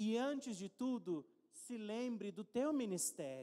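With a Brazilian accent, a man speaks at an extremely high pitch in an animated tone with lively intonation over a quiet background. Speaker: preacher. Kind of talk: sermon. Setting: church. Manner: conversational. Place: church. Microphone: handheld.

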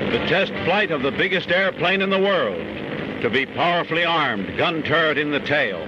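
Noticeable background noise sits under speech delivered at a moderate pace. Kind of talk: newsreel narration. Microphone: old recording.

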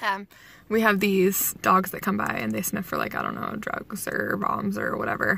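The sound is dry with no echo as a woman talks at a fairly quick pace. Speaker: commuter vlogger. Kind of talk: casual vlog chat. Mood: relaxed, amused, laughing. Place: car. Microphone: phone near.

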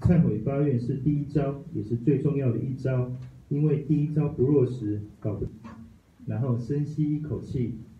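The speech moves at a fairly slow pace, with long, frequent pauses and fairly even intonation. Light background noise and audible room echo sit behind it. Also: man. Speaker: study group member. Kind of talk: reading aloud. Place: meeting room.

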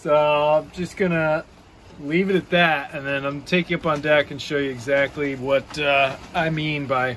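There is light background noise. Through it, a man speaks. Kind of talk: casual vlog chat. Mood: relaxed, content. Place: boat. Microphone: phone near.

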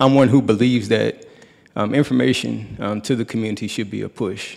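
Over a quiet background, a man talks in a plain, everyday voice at a moderate pace with ordinary pitch variation. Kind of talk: public forum address. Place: hall. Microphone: podium.

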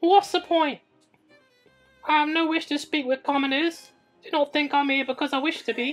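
Someone uses a put-on character voice at a moderate pace with long, frequent pauses, as faint music plays in the background. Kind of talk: comic overacting. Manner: arrogant, cold, dismissive.

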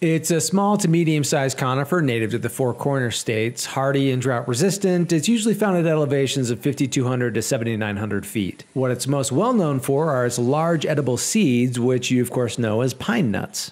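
An upbeat man with an American accent talks at a fairly quick pace and medium pitch, with lively intonation and hardly any pauses. His loudness stays very even over noticeable background noise. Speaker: woodworker. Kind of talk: casual talk to camera.

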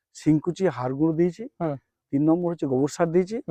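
A man with a fairly high pitch talks in a plain, everyday voice. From West Bengal, Nadia district. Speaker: college teacher and new jackfruit farmer. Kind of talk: interview.

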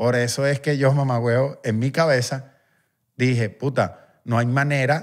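A man speaks against a quiet background. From Venezuela, Guatire (Miranda); Venezuela. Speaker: musician; podcast guest or host. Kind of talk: casual chat. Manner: animated. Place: studio. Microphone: studio mic.

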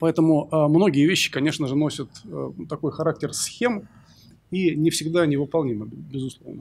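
This man's voice sits fairly high and moves at a fairly quick pace, with ordinary pitch variation over light background noise. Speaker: surgeon, panel discussant; panel discussant. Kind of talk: panel discussion. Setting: stage with audience. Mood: thoughtful, arguing a personal view. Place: hall. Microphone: podium.

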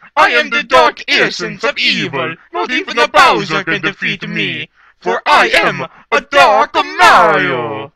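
Talking fairly slowly, a man performs in a put-on character voice. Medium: voice reel. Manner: menacing.

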